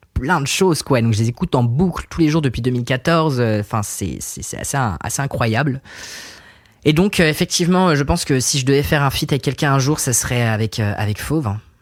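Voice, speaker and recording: A man speaks fairly quickly, and his pitch varies in an ordinary way. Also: medium pitch for a man. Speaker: singer-songwriter. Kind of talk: casual chat. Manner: hesitant, many fillers.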